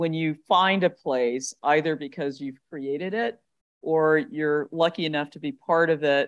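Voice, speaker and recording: In an American accent, a woman speaks with a very deep, low pitch and fairly even intonation. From US South, southern Alabama. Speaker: speaker at a leadership symposium. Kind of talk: fireside chat interview.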